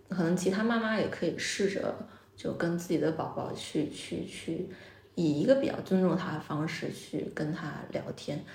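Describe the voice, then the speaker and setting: A woman's fairly low voice, with ordinary pitch variation, comes through audible room echo and noticeable background noise. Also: moderate pace. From Jiangsu, China. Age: 30s. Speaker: restaurant owner. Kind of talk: interview conversation. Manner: many filler sounds and hesitations.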